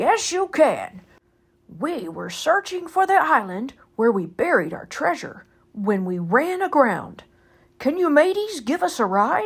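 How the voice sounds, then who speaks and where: A woman's high-pitched put-on character voice at a fairly slow pace, with very wide pitch swings. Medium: read story.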